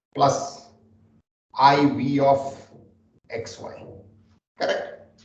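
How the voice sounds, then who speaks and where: Speaking very slowly, a man is heard with audible echo from the room. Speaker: data scientist teaching a class. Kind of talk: lecture. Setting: classroom with remote listeners on phone.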